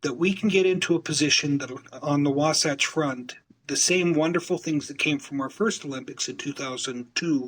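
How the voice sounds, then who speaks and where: A man's fairly high voice with an American accent, ordinary pitch variation and a moderate pace. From Utah. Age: 60s. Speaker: community networker and business developer. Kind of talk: interview conversation. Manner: halting, many fillers and repetitions.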